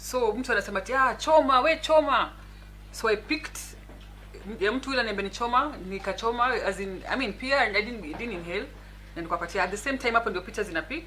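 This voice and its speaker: A woman's fairly high voice with lively intonation at a very fast pace, over noticeable background noise. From Kenya, Nairobi. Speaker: politician. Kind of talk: talk show interview.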